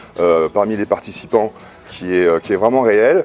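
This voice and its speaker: A man speaking at a moderate pace, with music in the background. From France, Paris. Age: 50s. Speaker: seminar participant. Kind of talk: testimony. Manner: halting, many hesitations.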